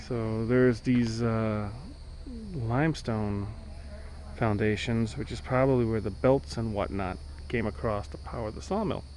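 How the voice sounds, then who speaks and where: With lively intonation, a man speaks at a fairly slow pace with long, frequent pauses, amid audible room echo and noticeable background noise. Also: medium pitch for a man. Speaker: family vlogger exploring ruins. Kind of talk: casual walking tour narration. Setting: outdoors at plantation ruins.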